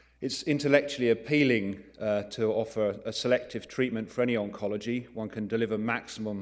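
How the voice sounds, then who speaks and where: A man with an English accent talks at a medium pitch and a fairly quick pace. His intonation stays fairly even, with hardly any pauses. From England, London. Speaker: neurointerventional radiologist. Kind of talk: conference lecture. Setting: conference talk.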